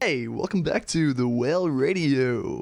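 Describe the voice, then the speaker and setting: A man's put-on character voice at a fairly high pitch and a moderate pace. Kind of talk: radio announcer. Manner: cheesy, exaggerated.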